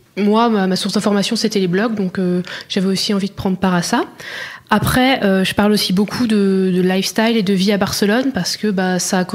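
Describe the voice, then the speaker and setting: Noticeable background noise under fairly even intonation. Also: woman. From France, Burgundy (Auxerre). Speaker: blogger. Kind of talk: interview. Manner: hesitant, many fillers.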